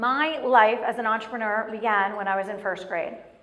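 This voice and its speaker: A woman with a fairly high voice talks at a very fast pace amid audible room echo. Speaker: motivational speaker. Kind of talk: motivational talk. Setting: stage with audience.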